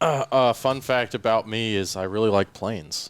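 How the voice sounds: A plain, everyday voice from a man at a medium pitch, moderate in pace, with ordinary pitch variation, in a very clean recording with a silent background.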